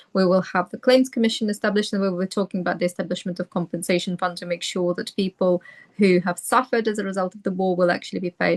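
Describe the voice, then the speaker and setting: Very fast and fairly even in intonation, a woman with a Ukrainian accent speaks at a medium pitch in a dry, close sound with no echo. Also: hardly any pauses. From Ukraine, Donetsk. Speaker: barrister. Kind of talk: panel discussion Q&A.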